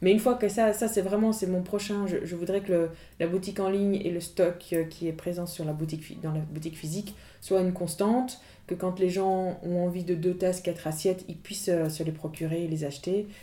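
The tone is dark and mellow. The intonation stays fairly even at a fairly quick pace. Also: woman, medium pitch for a woman. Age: 30s. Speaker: ceramic artist. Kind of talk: interview. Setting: in person, face to face. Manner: halting, many repetitions and fillers.

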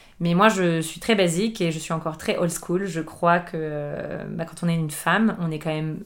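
With fairly even intonation, a woman talks at a fairly low pitch. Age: 30s. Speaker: chef and table d'hôte host. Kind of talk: casual interview conversation. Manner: halting, frequent repetitions.

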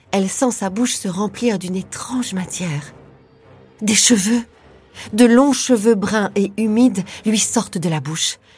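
Over music in the background, a woman with a medium-pitched voice speaks at a fairly slow pace in a dramatic tone, her pitch varying in an ordinary way. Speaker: podcast narrator. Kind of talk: true-crime narration. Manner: suspenseful, hushed, dramatic; measured, slow-paced storytelling.

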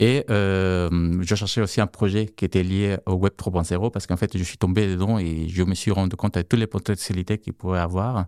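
With a non-native accent, a man talks in a very deep, low voice with a dark, mellow tone and fairly even intonation. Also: moderate pace, very clean recording, silent background. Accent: foreign accent in French. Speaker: tech co-founder of startup. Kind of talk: interview. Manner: halting, many fillers.

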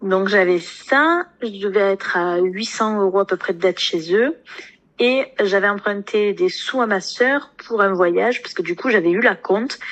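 Hers is an unremarkable speaking voice: a woman at medium pitch, fairly slow pace and ordinary pitch variation. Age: 20s. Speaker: nurse and coaching client. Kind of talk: interview testimony.

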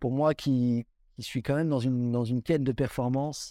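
On a very clean recording with a silent background, a voice in a dark, mellow tone moves at a moderate pace with fairly even intonation. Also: man. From Belgium. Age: 20s. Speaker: professional rock climber. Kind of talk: interview. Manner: halting.

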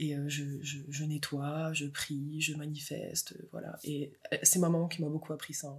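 A woman speaks fairly slowly in a very clean recording where the background is silent. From France, Moselle. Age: 20s. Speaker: mother and artist. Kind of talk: casual interview chat.

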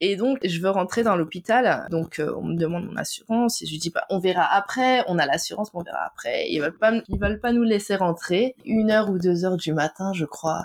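A woman at a medium pitch and fairly quick pace, with ordinary pitch variation. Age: 30s. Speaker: tax office worker and wife of a pro basketball player. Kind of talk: interview. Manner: hesitant, many fillers.

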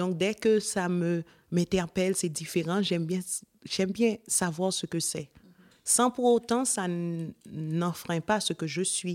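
A woman talks at a very slow pace and a medium pitch. The sound is dry and close, with no echo. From sunny non-European country. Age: 30s. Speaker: cancer survivor. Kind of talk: testimony.

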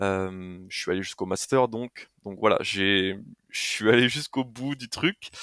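A man's fairly low voice carries a bright, sharp tone with big swings in loudness. The sound is dry and close with no echo, on a very clean recording with a silent background. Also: ordinary pitch variation. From France, Haute-Marne (rural north-east). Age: 20s. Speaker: adventurer and content creator. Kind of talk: casual interview conversation. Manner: hesitant, many fillers.

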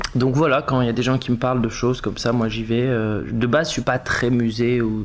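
A man talks at a medium pitch and a fairly quick pace. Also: very even loudness. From southern France (Var), Tunisian family. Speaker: actor. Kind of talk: casual interview. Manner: animated.

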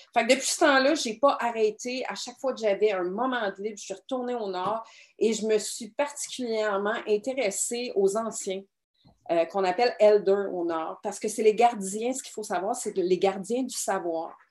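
A woman speaks with a Quebec accent at a fairly high pitch. Her pace is moderate, and her loudness swings widely. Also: ordinary pitch variation. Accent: Québécois French. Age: 40s. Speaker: documentary filmmaker and explorer. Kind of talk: interview.

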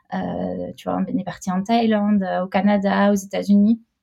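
A woman's medium-pitched voice, dark and mellow in tone and somewhat breathy. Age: 30s. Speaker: mother and entrepreneur. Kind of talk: casual interview chat. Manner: hesitant, many fillers.

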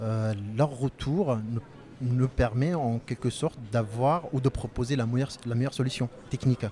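A man's medium-pitched voice, dark and mellow, somewhat breathy, with fairly even intonation at a fairly slow pace. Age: 30s. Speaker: sales engineer. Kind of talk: interview. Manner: halting.

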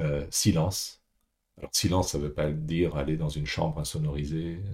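At a moderate pace, a man talks with a very deep, low pitch, a dark, mellow tone and vocal fry. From France, Paris. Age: 60s. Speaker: executive coach, former banker. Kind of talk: podcast interview. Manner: halting, with repetitions.

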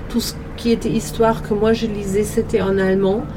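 A woman speaks in a German accent. Audible room echo and noticeable background noise surround her voice. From Germany. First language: German (speaking French). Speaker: hotel worker. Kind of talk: interview. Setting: outdoors.

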